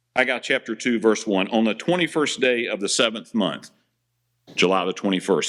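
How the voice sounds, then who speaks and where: A man speaks at a moderate pace with lively intonation in a very clean recording with a silent background. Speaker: pastor. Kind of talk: sermon. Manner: loud.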